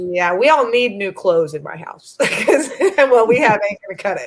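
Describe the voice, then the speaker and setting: A woman with a Southern US accent, fairly slow in pace and lively in intonation. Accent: Southern American. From US South. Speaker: YouTuber guest. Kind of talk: live stream chat.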